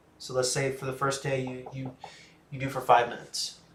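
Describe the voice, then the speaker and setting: Audible room echo surrounds a man with an American accent who talks at a fairly quick pace. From USA. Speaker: livestreamer with schizophrenia. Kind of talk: livestream chat, reading and answering viewer comments. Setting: home library livestream. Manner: casual, hesitant with fillers.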